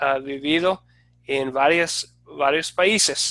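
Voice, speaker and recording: With an American accent and a bright, sharp tone, a man speaks at a very slow pace with ordinary pitch variation. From United States. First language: English (speaking Spanish). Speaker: Bible teacher, former pastor and missionary. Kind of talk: online class introduction. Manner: halting, with many fillers.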